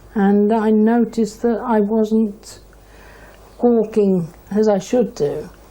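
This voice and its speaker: A woman speaks at a very slow pace, her pitch fairly high and her intonation fairly even. Noticeable background noise runs underneath. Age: 60s. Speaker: patient. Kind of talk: interview. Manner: halting.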